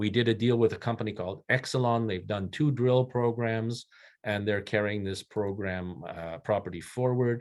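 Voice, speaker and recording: Speaking at a moderate pace, a man uses an ordinary speaking voice with fairly low pitch and ordinary pitch variation. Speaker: mining company executive. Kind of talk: investor presentation.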